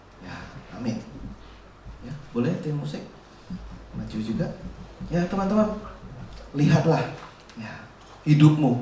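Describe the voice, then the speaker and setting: Fairly slow speech with long, frequent pauses, very wide pitch swings and audible room echo. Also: man, fairly high pitch for a man. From Central Java, Indonesia (Solo). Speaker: youth preacher. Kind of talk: sermon.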